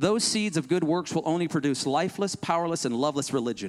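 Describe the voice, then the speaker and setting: An animated man with a fairly high voice at a fairly quick pace, in a very clean recording with a silent background. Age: 40s. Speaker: pastor. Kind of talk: sermon.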